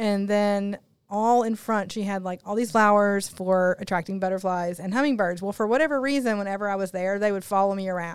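A woman speaks with a Southern US accent at medium pitch, with hardly any pauses. The recording is very clean, with a silent background. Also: fairly quick pace. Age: 40s. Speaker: podcast co-host. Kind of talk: casual interview; scripted disclaimer.

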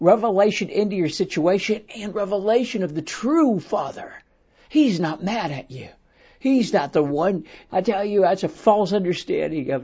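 A man talks at a high pitch and a moderate pace. His intonation is lively, and his loudness swings widely. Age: 60s. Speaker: prophetic speaker and podcast host. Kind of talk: sermon-style podcast monologue. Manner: animated.

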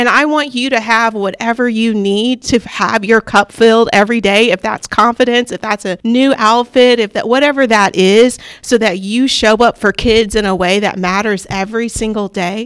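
An unremarkable speaking voice at a moderate pace, fairly even intonation, dry, close sound with no echo. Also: woman, fairly high pitch for a woman. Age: 30s. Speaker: teacher and assistant principal. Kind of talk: interview.

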